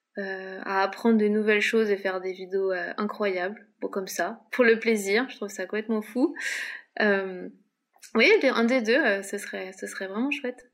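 Her loudness swings widely as a woman with an unremarkable speaking voice talks at a medium pitch, a moderate pace and with fairly even intonation. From Paris, France. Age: 30s. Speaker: freelance illustrator. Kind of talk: casual interview.

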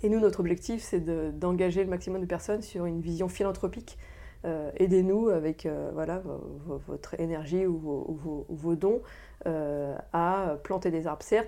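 Against a quiet background, a woman talks at a moderate pace with a dark, mellow tone, fairly low pitch and fairly even intonation. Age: 30s. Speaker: director of a forest conservation association. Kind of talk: interview. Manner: halting, frequent hesitations and repetitions.

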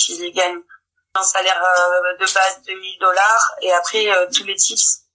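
Her pitch medium, a woman speaks at a fairly slow pace. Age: 20s. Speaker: engineer. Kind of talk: testimony.

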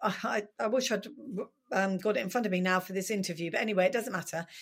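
Fairly even intonation carries a woman's speech on a very clean recording with a silent background. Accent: southern English. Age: 50s. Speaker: author. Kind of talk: interview.

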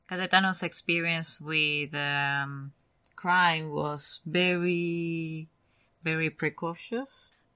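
Using a very slow pace and fairly even intonation, a woman with a non-native accent speaks in a fairly low pitch and a bright, sharp tone on a very clean recording with a silent background. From Argentina. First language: Spanish. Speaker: true crime podcast co-host. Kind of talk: casual chat.

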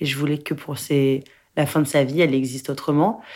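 A woman with a very deep, low pitch is heard in a very clean recording with a silent background. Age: 20s. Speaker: actress and film director. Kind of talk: interview testimony. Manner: halting.

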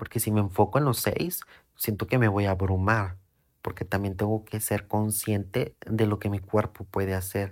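In a relaxed tone, a man talks at a fairly low pitch with fairly even intonation, on a very clean recording with a silent background. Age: 20s. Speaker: podcast host, salesman with psychology degree. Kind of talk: personal monologue. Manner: slow, relaxed.

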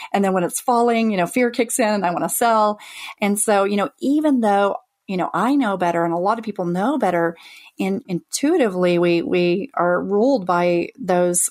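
A woman speaks at a moderate pace with lively intonation and a medium pitch. Hers is an unremarkable speaking voice. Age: 40s. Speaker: FIRE retreat founder, former teacher. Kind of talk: interview.

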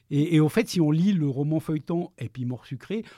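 At a moderate pace, a man speaks in a somewhat breathy voice with a dark, mellow tone and ordinary pitch variation, recorded dry and close with no echo. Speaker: freelance journalist and novelist. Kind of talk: interview. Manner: halting, frequent repetitions.

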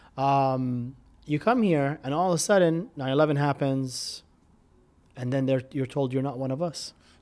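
At a moderate pace, a man with an American accent and a plain, everyday voice speaks at a fairly high pitch with ordinary pitch variation. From Middle East (Jordan, Lebanon, Tunisia). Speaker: restaurant founder and entrepreneur. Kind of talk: interview.

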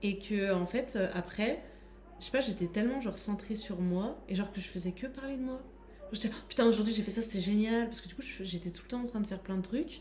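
Fairly quick speech from a woman at medium pitch with ordinary pitch variation, set against noticeable background noise. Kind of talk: casual chat. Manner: animated.

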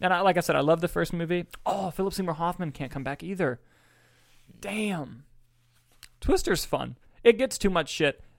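The recording is very clean, with a silent background. A man speaks in a high voice, leaving long, frequent pauses. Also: ordinary pitch variation. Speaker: independent filmmaker and podcast host. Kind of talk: casual chat. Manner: fast talker.

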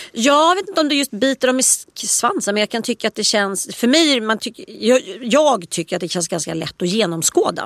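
A woman talks with hardly any pauses. Her fairly high voice moves in very wide pitch swings. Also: moderate pace. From Stockholm, Östermalm. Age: 40s. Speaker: author and columnist. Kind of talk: casual chat.

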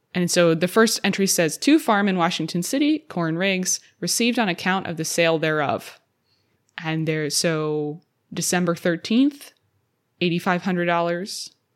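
A woman with a normal speaking voice, fairly low pitch, ordinary pitch variation, and a fairly slow pace, on a very clean recording with a silent background. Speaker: podcast host at historic site museum. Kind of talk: scripted narration.

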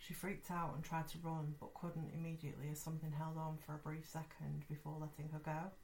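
A woman's very deep, low voice, dark and mellow in tone and somewhat breathy, at a fairly quick pace with monotone, flat intonation. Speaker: podcast host. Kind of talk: ghost story telling, reading listener-sent stories aloud. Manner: conversational, friendly, casual.

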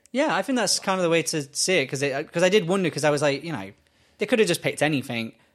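A man with an English accent talks very fast at a fairly high pitch, with lively intonation. The recording is very clean, with a silent background. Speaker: podcast co-host. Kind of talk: casual chat.

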